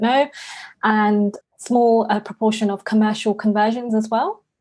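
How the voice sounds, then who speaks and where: A woman with a London accent speaks in a flat monotone. She talks at a fairly slow pace and a fairly high pitch. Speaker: property investor. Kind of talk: podcast interview.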